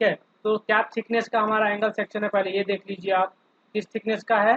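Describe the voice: The speech moves at a fairly quick pace with little pitch movement. The sound is dry and close, with no echo. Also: man, high pitch for a man.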